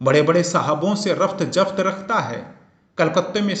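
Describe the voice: Plain reading aloud. The pitch moves in an ordinary way.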